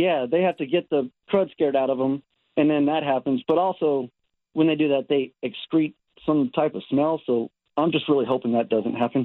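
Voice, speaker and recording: A man with an American accent speaks at a moderate pace in a fairly high pitch, using ordinary pitch variation and a plain, everyday voice. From Texas. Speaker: caller with pet opossum. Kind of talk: casual phone chat. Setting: phone call.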